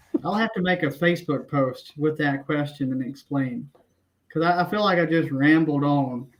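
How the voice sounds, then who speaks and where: Speaking in a Southern accent, a man uses a fairly high pitch, a moderate pace and ordinary pitch variation. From Tennessee, small town. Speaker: kayak angler. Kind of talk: podcast interview. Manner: halting, many fillers and restarts.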